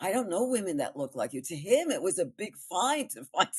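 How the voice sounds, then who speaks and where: A woman speaks at a fairly quick pace in a medium pitch, her voice swinging very widely up and down. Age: 80s+. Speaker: actress and storyteller. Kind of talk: interview answer.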